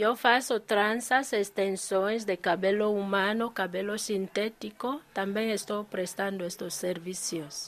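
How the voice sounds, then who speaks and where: Hardly pausing, a woman speaks at a very slow pace. Her medium-pitched voice keeps fairly even intonation. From Equatorial Guinea. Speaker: shop owner. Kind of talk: interview. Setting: in her shop. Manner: halting.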